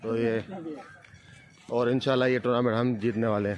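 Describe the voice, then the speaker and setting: The voice is monotone and flat at a moderate pace, with noticeable background noise. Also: man. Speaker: vlogger and amateur cricketer. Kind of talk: casual vlog with on-the-spot interviews. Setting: outdoors at night cricket ground.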